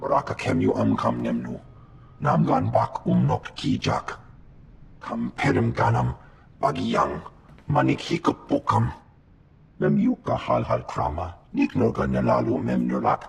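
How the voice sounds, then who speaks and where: Using a put-on character voice, a man talks at a moderate pace in a very deep, low pitch, leaving long, frequent pauses. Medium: video game.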